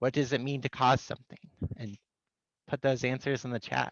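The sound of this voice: A man speaks at medium pitch with vocal fry and little pitch movement. The sound is dry and close with no echo. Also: moderate pace.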